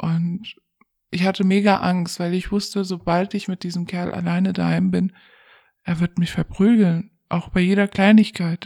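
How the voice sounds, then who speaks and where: A woman speaks at a fairly slow pace in a dark, mellow tone that is somewhat breathy, with medium pitch and monotone, flat intonation. The very clean recording has a silent background and a dry, close sound with no echo. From Germany, Pakistani family background. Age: 20s. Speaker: domestic violence survivor interviewee. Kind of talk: personal testimony in interview.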